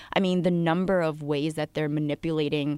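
On a very clean recording with a silent background, a woman's very deep, low voice comes through dry and close with no echo, her intonation fairly even. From US Northeast, New Jersey and Connecticut near New York City. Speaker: financial journalist. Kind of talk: casual chat.

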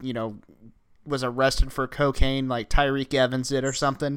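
At a fairly quick tempo, this man talks in a medium pitch with an ordinary speaking voice. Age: 20s. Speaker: sports podcast host. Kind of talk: casual chat.

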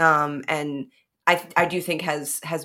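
Over a very clean recording with a silent background, a woman with an American accent speaks at a very deep, low pitch in a bright, sharp tone. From Chicago, North Side. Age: 30s. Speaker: stand-up comedian and podcaster. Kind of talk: casual chat.

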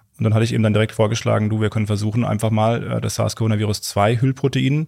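A man with a medium pitch talks fairly quickly, his pitch moving in an ordinary way. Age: 30s. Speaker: scientist. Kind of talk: interview. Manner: halting.

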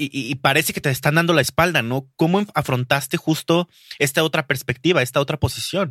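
A bright, sharp tone in a Mexican accent, with ordinary pitch variation and a dry, close sound with no echo. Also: man, fairly high pitch for a man, fairly quick pace. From Mexico, Durango. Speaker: podcast host and booktuber. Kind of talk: casual interview chat.

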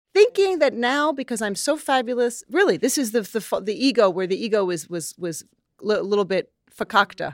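A woman with a New York accent talks at a fairly quick pace. Her pitch swings very widely. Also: fairly high pitch for a woman. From New York City. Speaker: model and actress. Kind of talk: interview conversation. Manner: animated.

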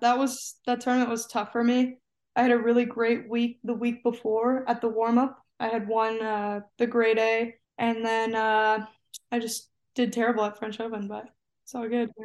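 Behind the voice, the background stays quiet. Its intonation is flat and monotone. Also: woman, fairly high pitch for a woman, moderate pace. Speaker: college tennis player. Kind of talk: casual interview. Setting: remote call from home.

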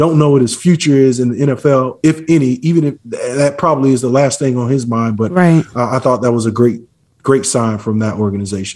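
The man talks fairly quickly in an ordinary speaking voice, holding a medium pitch with ordinary pitch variation. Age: 40s. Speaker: former pro football player. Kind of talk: interview.

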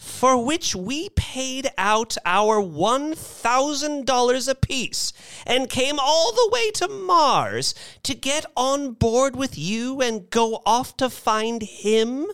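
Slow and lively in intonation, a put-on character voice comes across with a clear, smooth, fairly bright tone.

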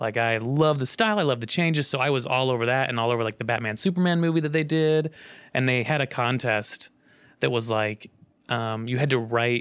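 Using an ordinary speaking voice, a man talks at a medium pitch and a moderate pace with ordinary pitch variation. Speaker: Batman fan and Instagram account creator. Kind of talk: casual interview chat.

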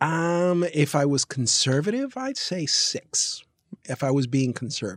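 A man's lively intonation at a fairly slow pace. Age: 50s. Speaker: podcast co-host. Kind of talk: casual chat.

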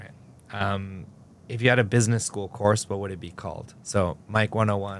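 At a moderate pace, a man uses an ordinary speaking voice with fairly low pitch, fairly even intonation and big swings in loudness. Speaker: podcast host, journalist. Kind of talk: podcast interview, scripted intro.

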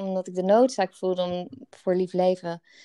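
A woman's medium-pitched voice comes through with a dry, close sound and no echo. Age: 30s. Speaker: podcast co-host, wellbeing business co-founder. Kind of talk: casual chat.

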